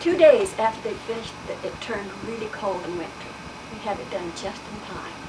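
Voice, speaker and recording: Lively intonation and big swings in loudness at a fairly quick pace, with an American accent over noticeable background noise. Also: woman, fairly high pitch for a woman. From Utah, US. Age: 80s+. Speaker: oral history interviewee. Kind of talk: oral history interview.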